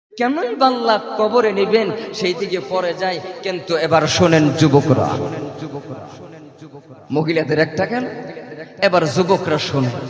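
A man speaks in a high voice with lively intonation. Noticeable background noise can be heard. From Assam, India. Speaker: Islamic preacher. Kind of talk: religious sermon to a live crowd. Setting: outdoor gathering, PA system. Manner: impassioned, emotional.

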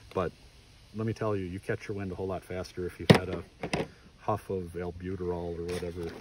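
A man's very deep, low voice, monotone and flat, at a very fast pace with long, frequent pauses and noticeable background noise. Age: 40s. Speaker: hunter and gear vlogger. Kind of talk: casual gear review talk.

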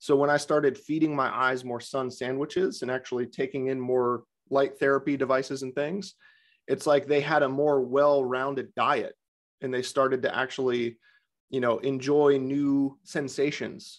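A man's normal speaking voice, fairly high-pitched for a man, with fairly even intonation, a moderate pace and a quiet background. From US, Vermont. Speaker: Bates method vision teacher and podcaster; Bates method vision teacher, podcaster. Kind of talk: panel discussion answering questions. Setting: video call. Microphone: webcam.

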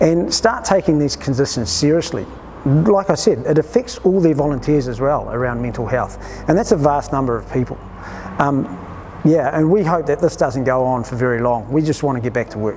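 Over light background noise, a man talks at a fairly quick pace. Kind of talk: interview answer. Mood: serious, concerned. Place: garage.

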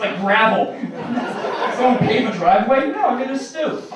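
A man's extremely high voice in a New York accent, lively in intonation and fairly quick, with audible room echo and noticeable background noise. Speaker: stand-up comedian. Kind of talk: stand-up comedy set. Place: stage.

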